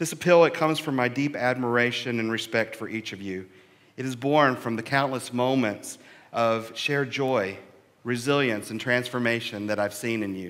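Ordinary pitch variation marks the man's speech, which moves at a moderate speed. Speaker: minister. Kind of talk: sermon. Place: church. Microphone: headset.

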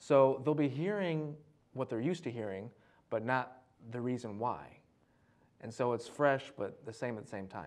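With an American accent, a man speaks at a medium pitch and a moderate pace. His intonation is lively, broken by long, frequent pauses. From Detroit, Michigan. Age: 30s. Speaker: poet and comedian; poet, comedian. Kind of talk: casual studio interview chat. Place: studio. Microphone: lapel.

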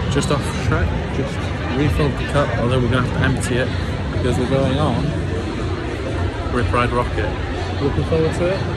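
Speech comes at a fairly quick pace. The sound is dry with no echo, with crowd noise in the background. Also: man. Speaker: travel vlogger. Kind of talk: casual vlog chat. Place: street. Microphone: phone near.

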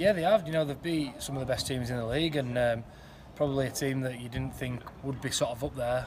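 Noticeable background noise runs behind a man talking at a very fast pace with fairly even intonation. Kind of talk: interview answer. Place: stadium. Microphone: phone near.

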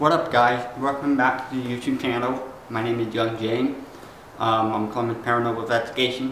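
Light background noise and audible room echo around a man's speech. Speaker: paranormal investigation vlogger. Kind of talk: casual vlog chat. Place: factory. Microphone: camera far.

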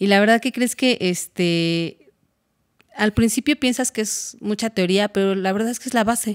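Against a quiet background, a woman talks at a moderate pace, her pitch varying in an ordinary way. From Mexico, Hidalgo (Tula); Hidalgo, Mexico. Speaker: music composition student; interviewee. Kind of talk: interview. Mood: warm, at times emotional. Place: studio. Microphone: studio mic.

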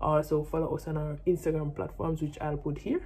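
A woman with a Jamaican accent. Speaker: vlogger and professional netball player; vlogger. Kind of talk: casual vlog talk to camera. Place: home room. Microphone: phone near.

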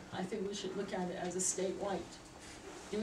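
A woman speaks at a moderate pace over loud background noise. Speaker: member of the public giving comment. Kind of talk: public comment at a meeting. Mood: earnest, emotional. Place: meeting room. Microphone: camera far.

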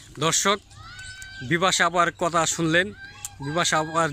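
Background noise is noticeable here. The man's intonation stays fairly even. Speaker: YouTube reporter. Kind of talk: street interview.

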